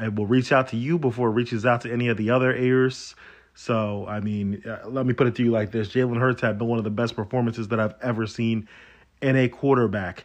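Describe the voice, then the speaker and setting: The pace is fairly quick. A man's voice sits at a medium pitch. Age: 30s. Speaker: sports podcast host. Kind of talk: casual solo sports commentary. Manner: animated.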